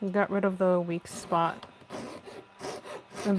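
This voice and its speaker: A soft-spoken woman at medium pitch, talking at a very slow pace. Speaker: craft live streamer. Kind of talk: live stream tutorial.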